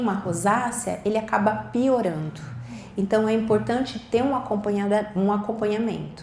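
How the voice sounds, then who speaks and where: The room's echo comes through audibly. A woman's speech moves at a moderate rate. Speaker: doctor giving a talk. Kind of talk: lecture.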